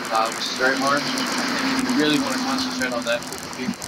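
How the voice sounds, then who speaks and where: A man speaks softly. Noticeable background noise is present. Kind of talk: interview. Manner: soft-spoken.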